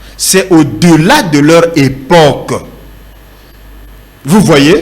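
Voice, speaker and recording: Audible room echo around a man's fairly high-pitched voice. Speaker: pastor. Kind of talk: sermon. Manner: slow.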